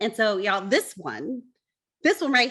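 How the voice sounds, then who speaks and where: On a very clean recording with a silent background, a woman with an American accent speaks in a fairly high, somewhat breathy voice with very wide pitch swings. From US South. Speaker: baker and business owner. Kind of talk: casual chat.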